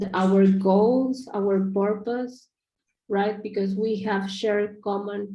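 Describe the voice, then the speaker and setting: A woman speaks at a very slow pace. Her voice sits at a medium pitch with a dark, mellow tone. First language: not English. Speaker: project feedback giver. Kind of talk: video call discussion. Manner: halting, many fillers.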